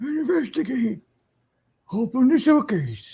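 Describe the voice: Someone puts on a character voice, fairly high in pitch and delivered at a fairly slow pace.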